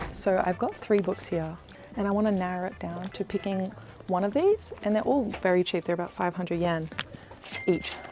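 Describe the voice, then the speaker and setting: A woman's medium-pitched voice carries fairly even intonation, with noticeable background noise behind it. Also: moderate pace. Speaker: travel and lifestyle vlogger. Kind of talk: casual vlog. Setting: inside a secondhand bookshop. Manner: soft-spoken.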